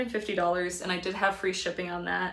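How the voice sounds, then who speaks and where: A woman speaks with an American accent and fairly even intonation. Audible room echo surrounds her voice. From Connecticut, US. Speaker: part-time reseller, video creator. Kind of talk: casual vlog talk. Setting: indoors at home, by a window. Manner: fast.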